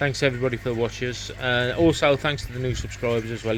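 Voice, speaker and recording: The speech is monotone, with flat intonation and a fairly quick pace. Noticeable background noise runs underneath. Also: man. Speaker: koi keeper vlogger. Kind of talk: casual vlog talk. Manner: rambling, chatty.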